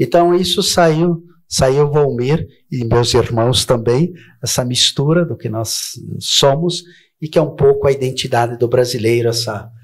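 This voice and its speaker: Somewhat breathy, a man talks at a fairly slow pace and a medium pitch. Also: ordinary pitch variation. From southern Brazil (Rio Grande do Sul). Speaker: educator and political candidate. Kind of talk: TV interview. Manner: formal.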